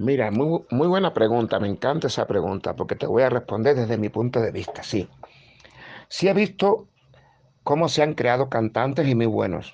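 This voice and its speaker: This man has an unremarkable speaking voice at a medium pitch, talking at a moderate pace with lively intonation. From Cuba, Guanajay (western Cuba). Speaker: singer-songwriter. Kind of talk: casual interview chat.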